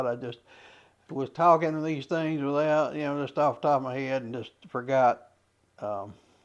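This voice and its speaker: Speaking in an Appalachian accent, a man talks at a moderate pace in a fairly high voice with ordinary pitch variation. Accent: Clay County (Kentucky) Appalachian. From Clay County, Kentucky. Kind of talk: casual talk to camera. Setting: outdoors, windy. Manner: hesitant, many fillers.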